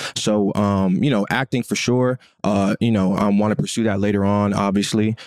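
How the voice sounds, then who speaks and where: With an ordinary speaking voice, a man talks at a moderate pace and fairly low pitch, with fairly even intonation, very even loudness, and a dry, close sound with no echo. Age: 20s. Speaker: podcast co-host, former football player. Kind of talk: casual chat.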